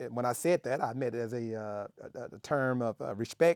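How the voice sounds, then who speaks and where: A man with a Southern US accent speaks at a medium pitch and a moderate pace. His intonation is fairly even, and the sound is dry and close with no echo. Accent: Southern American. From Memphis, Tennessee. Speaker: Navy veteran, former cook. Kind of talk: interview answer.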